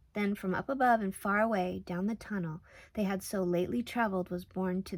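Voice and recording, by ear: The voice is natural. It is reading something aloud.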